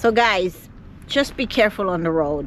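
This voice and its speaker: A woman speaks fairly slowly in a Caribbean accent with lively intonation. Noticeable background noise sits behind her. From Jamaica. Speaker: vlogger. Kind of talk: vlog to camera.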